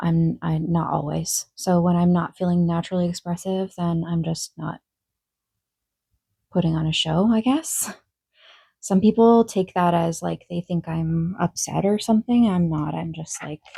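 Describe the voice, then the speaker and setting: A dark, mellow tone, somewhat breathy, sits in a dry, close sound with no echo and moves at a moderate pace. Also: woman, fairly low pitch for a woman. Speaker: vlogger. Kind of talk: casual Q&A vlog. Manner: sometimes monotone; hesitant, many fillers.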